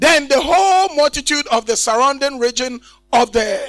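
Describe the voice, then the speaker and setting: A man's animated tone and lively intonation, dry and close with no echo, over music in the background. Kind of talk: sermon with call-and-response, leading the congregation in scripture reading. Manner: animated, exhorting, repeatedly prompting the crowd to shout amen; repetitive, emphatic, rhetorical questions.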